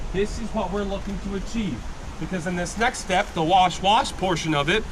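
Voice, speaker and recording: A loud, high-pitched male voice with ordinary pitch variation, a moderate pace, audible room echo and noticeable background noise. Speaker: gold panning instructor at tourist camp. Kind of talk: live demonstration to tour group. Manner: loud, projecting.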